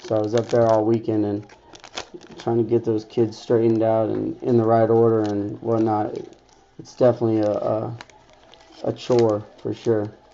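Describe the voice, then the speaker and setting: The speaker moves at a moderate pace with long, frequent pauses and monotone, flat intonation. Noticeable background noise runs underneath. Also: man, medium pitch for a man. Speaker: sports card breaker. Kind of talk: live card break commentary.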